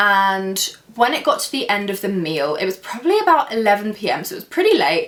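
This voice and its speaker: Hardly pausing at all, a woman speaks at a fairly quick pace. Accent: English. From England. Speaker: YouTuber. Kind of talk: storytime vlog.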